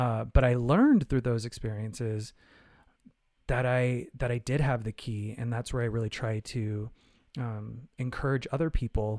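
A man with an American accent talks at a moderate pace and medium pitch in an ordinary speaking voice, with fairly even intonation. The recording is very clean, with a silent background. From Arizona, US (Phoenix). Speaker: choreographer and Broadway performer. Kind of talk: casual interview.

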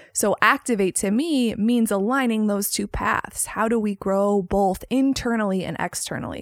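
In a Chicago accent, this speaker delivers an animated tone at a moderate pace with hardly any pauses, ordinary pitch variation and a dry, close sound with no echo. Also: woman, fairly high pitch for a woman. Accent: Chicago American. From US Midwest, Chicago. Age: 30s. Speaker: podcast host. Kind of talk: solo podcast intro.

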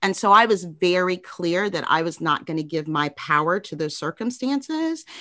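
Against a quiet background, a woman speaks fairly slowly in a fairly low pitch with a bright, sharp, energetic and animated tone. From Chicago. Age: 50s. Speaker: diversity executive at a tech company. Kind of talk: casual interview. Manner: energetic, animated.

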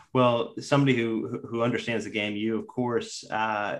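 Here a man has an unremarkable speaking voice at a medium pitch. He moves along at a fairly quick pace. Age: 30s. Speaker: golf podcast host and reporter. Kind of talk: casual interview.

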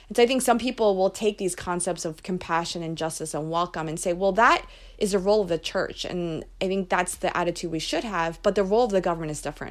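A woman with an American accent speaks at a very fast pace, medium in pitch with ordinary pitch variation, in a very clean recording with a silent background. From Philadelphia, US. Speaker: immigration policy advocate. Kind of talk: interview.

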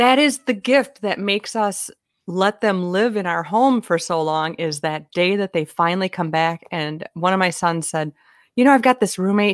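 With a Minnesotan accent, a woman speaks in an animated tone with lively intonation, in a dry, close sound with no echo. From US Minnesota. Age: 50s. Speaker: humorist speaker and author. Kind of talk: casual chat. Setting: video call. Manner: animated, jokey.

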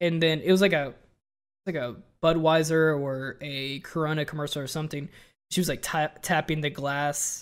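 At a moderate pace, a man speaks with fairly even intonation at a fairly high pitch. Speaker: podcast co-host and streamer. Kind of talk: casual chat. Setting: video call. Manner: relaxed.

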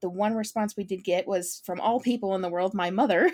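A woman with a normal speaking voice talks in a medium pitch with fairly even intonation. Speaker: podcast host. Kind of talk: casual chat.

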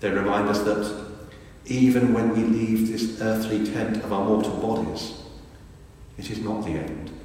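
Against noticeable background noise, a man with a warm tone speaks fairly slowly at a fairly low pitch in a monotone, flat intonation. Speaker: priest. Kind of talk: eulogy sermon, affectionate tribute with gentle self-deprecating humour. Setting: church. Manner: warm, wry and conversational; earnest, reflective and measured.

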